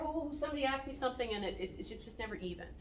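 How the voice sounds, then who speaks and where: Audible room echo fills the recording. The speaker is a woman. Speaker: wound care nurse. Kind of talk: staff training talk. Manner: fast.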